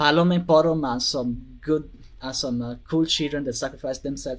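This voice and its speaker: With a non-native accent, a man speaks with fairly even intonation. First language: not English. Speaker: video game fan. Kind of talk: casual chat. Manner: halting, many fillers.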